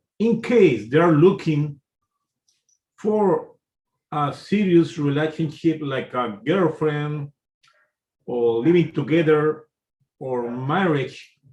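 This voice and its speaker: A man with a non-native accent speaks at a very slow pace, leaving long, frequent pauses. His fairly high pitch moves with lively intonation. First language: Spanish. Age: 50s. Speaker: YouTuber commentator. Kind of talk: monologue commentary. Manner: halting, many fillers.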